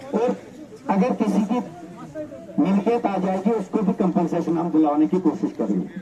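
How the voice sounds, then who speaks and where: A man talks in a high voice at very even loudness, with long, frequent pauses. Noticeable background noise sits behind him. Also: ordinary pitch variation. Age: 50s. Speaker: politician. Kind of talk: public address.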